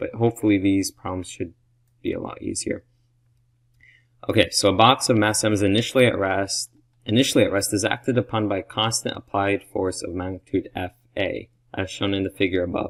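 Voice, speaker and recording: Recorded dry and close with no echo against a silent background in very clean sound, a man speaks at a fairly low pitch with fairly even intonation. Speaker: student solving physics exam problems. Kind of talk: tutorial. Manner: halting, self-correcting.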